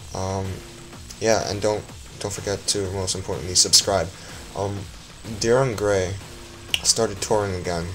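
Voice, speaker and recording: Fairly low male voice with ordinary pitch variation, music in the background and audible room echo. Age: student. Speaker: music reviewer. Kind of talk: casual video review. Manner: slow; halting, many fillers.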